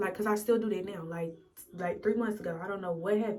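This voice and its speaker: A woman's medium-pitched voice with fairly even intonation, plus audible room echo and music in the background. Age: 20s. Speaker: vlogger and military service member. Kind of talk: casual get-ready-with-me chat. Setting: in her bathroom. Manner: casual, vulnerable and emotional.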